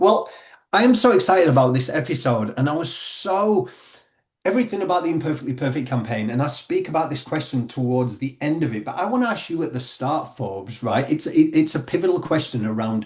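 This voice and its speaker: This man has a British accent and lively intonation. He talks at a fairly quick pace. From Britain. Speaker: podcast host. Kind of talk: interview.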